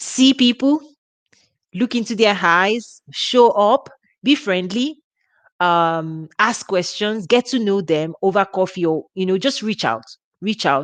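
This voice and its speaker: A woman speaks very slowly at a medium pitch with lively intonation, recorded dry and close with no echo against a quiet background. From Nigeria. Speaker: women's ministry leader. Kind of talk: live workshop talk. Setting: livestream. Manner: informal, relaxed.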